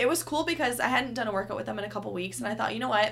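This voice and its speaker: The woman's medium-pitched voice has a bright, sharp tone with vocal fry. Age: 20s. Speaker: fitness instructor. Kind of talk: interview.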